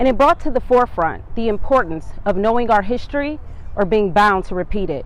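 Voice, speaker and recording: Here is a woman with an ordinary speaking voice at medium pitch. Her intonation is lively and her pace moderate. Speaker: talk show host. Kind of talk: show intro narration.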